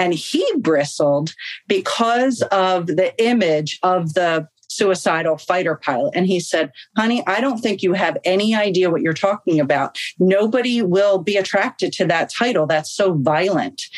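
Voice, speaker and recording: A woman speaks in a normal speaking voice with lively intonation. Her pace is moderate. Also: medium pitch for a woman. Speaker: author and yoga teacher. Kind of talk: interview.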